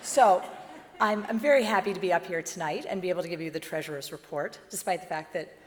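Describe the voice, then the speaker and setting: A woman's fairly low voice at a very fast pace, over noticeable background noise. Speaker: board member. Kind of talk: formal report at meeting.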